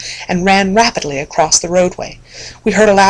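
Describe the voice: Simple, plain reading aloud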